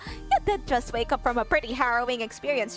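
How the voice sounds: A woman uses a husky, high-pitched, put-on character voice at a very fast pace. Clear music plays in the background.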